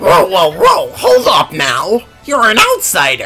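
Over clear background music, a put-on character voice drags along at a very slow pace. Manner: confrontational, blustering.

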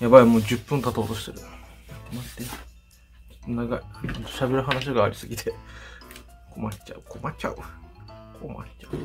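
Speech at a fairly quick pace comes with long, frequent pauses and big swings in loudness, while clear music plays in the background. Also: man. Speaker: makeup YouTuber. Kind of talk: casual talk to camera. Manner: chatty, fast. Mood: chatty, slightly deflated. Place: home room. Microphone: phone near.

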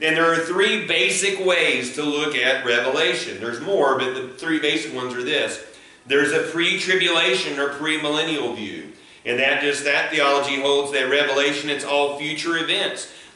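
A man talks at a moderate pace, and the room's echo can be heard. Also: ordinary pitch variation. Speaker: pastor. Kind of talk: sermon. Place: church. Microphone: camera far.

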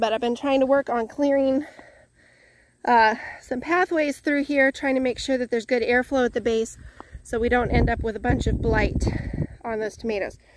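Her voice is high-pitched, with fairly even intonation at a moderate pace, and the woman sounds dry with no echo over light background noise. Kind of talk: casual vlog chat. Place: garden. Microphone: phone near.

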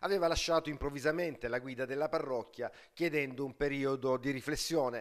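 A man with a plain, everyday voice talks at a fairly high pitch and a fairly quick pace, with ordinary pitch variation, in a very clean recording with a silent background. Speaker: local TV news reporter. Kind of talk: formal news reading, scripted report. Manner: formal, steady, measured newsreader delivery.

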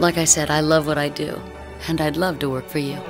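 A woman's very deep, low voice over music in the background. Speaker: dialect coach, voice actor. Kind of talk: professional self-introduction to camera, demo reel narration.

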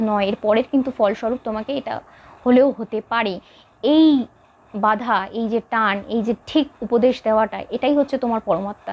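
Here is a woman with a high pitch. Her pitch varies in an ordinary way. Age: 20s. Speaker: devotional YouTuber. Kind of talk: spiritual talk to camera. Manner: conversational, informal with English loanwords.

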